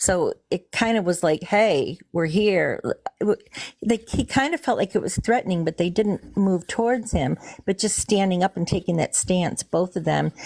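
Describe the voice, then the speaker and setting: A woman of medium pitch speaks at a moderate pace with vocal fry and ordinary pitch variation, in a dry, close sound with no echo. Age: 60s. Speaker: witness caller, teacher. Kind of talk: live call-in interview telling a story. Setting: live stream call. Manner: halting.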